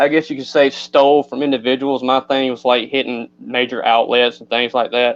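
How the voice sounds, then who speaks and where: The speaker has a Southern US accent and a monotone, flat intonation. The moderate pace runs with hardly any pauses. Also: man, medium pitch for a man. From North Carolina, Eden. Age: 20s. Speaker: person in recovery. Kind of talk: personal testimony.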